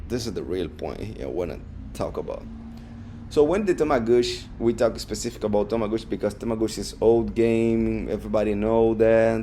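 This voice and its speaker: Fairly quick speech from a man with a non-native accent. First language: not English. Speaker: podcast host. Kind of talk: casual monologue. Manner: halting, with repetitions and fillers.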